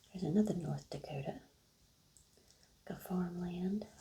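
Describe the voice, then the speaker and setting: Soft-spoken and medium in pitch, a woman talks with fairly even intonation over noticeable background noise. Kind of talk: ASMR soft-spoken.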